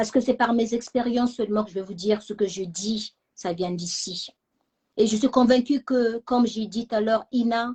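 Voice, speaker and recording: Here a woman speaks at a moderate pace. Her voice is somewhat breathy. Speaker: channel founder, self-esteem talk host. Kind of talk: personal talk to live audience.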